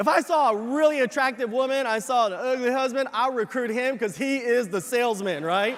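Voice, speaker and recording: Crowd noise fills the background as a man speaks with lively intonation at an extremely high pitch. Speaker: business leadership speaker / convention presenter. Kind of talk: motivational convention stage speech to a large live audience. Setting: large arena with a live audience.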